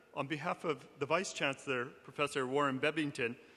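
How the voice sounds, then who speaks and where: Speaking with an American accent, a man uses a fairly high pitch, fairly even intonation and a moderate pace. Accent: noticeable American accent in Australia. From Alaska, USA. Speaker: university administrator. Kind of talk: welcome speech to audience. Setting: large hall with audience, live stream.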